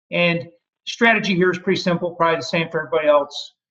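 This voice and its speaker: A man's very fast speech, high in pitch, with fairly even intonation. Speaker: university veterans services staff. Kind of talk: webinar presentation.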